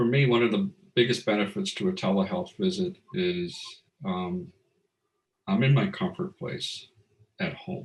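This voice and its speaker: A man with a fairly high, somewhat breathy voice swings very widely in pitch, moving at a moderate pace with long, frequent pauses. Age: 60s. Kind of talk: interview testimony. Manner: hesitant, many fillers.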